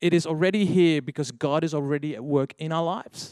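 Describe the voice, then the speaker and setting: This man's voice is fairly high and varies in pitch in an ordinary way. He keeps to a moderate pace. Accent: Dutch. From Netherlands. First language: Dutch. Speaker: young adults leader. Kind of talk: sermon. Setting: church.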